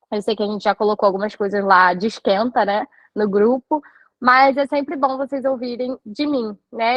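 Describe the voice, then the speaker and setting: Her pitch is high, and this woman speaks at a moderate pace with ordinary pitch variation. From Rio de Janeiro, Brazil. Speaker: nutritionist. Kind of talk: live online talk. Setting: live stream.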